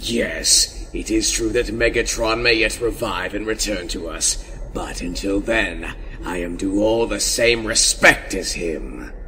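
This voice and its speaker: A man talks in a put-on character voice at a fairly slow pace. Background noise is clearly audible. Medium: read story. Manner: haughty, sneering.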